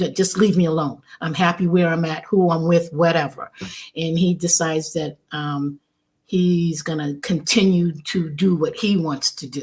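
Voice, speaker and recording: Somewhat breathy and with fairly even intonation, a woman speaks at a fairly low pitch on a very clean recording with a silent background. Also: moderate pace. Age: 60s. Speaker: testimony guest. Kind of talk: testimony. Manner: halting.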